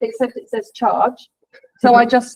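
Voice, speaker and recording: A woman with an English accent and a high-pitched voice. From England. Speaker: leadership training director. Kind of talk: guest talk in a university lecture.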